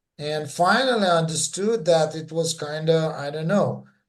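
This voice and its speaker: The voice has a Russian accent and ordinary pitch variation at a fairly slow pace. Audible room echo is present. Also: man, big swings in loudness. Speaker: former church member. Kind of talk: interview testimony. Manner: halting.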